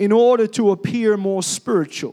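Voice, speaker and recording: The voice is loud. Its pitch varies in an ordinary way. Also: man. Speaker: pastor. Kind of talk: sermon. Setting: church.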